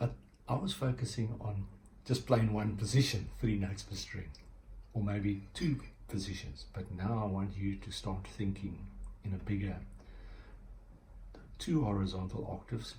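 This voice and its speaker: A man with a South African accent speaks in a fairly low, dark, mellow voice with vocal fry and ordinary pitch variation. He leaves long, frequent pauses, and the room echo is audible. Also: moderate pace. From South Africa, Cape Town. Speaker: guitar teacher. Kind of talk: tutorial; casual chat. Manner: halting.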